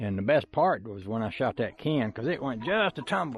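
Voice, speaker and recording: A man with a Southern US accent speaks at a moderate pace with lively intonation over music in the background. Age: 60s. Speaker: YouTuber. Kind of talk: casual vlog monologue. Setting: outdoors.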